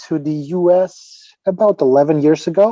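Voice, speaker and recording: A man's high-pitched, dark, mellow voice in a Ukrainian accent, at a fairly slow pace with ordinary pitch variation. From Ukraine. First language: Ukrainian or Russian. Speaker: fitness trainer and author. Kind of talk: podcast interview. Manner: halting, with repetitions.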